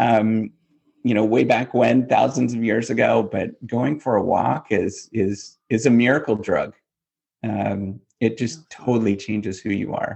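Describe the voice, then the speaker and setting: With a Canadian accent and a touch of vocal fry, a man talks at medium pitch with fairly even intonation. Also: fairly slow pace. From Canada, northwestern Ontario. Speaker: business professor. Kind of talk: interview. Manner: halting, many fillers.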